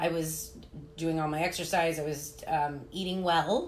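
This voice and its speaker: Through audible room echo, a woman speaks at a fairly low pitch with ordinary pitch variation. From US Midwest (Chicago and Indiana). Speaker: fitness coach and live-stream host. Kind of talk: casual live-stream interview. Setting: live at a holistic health clinic. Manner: loud.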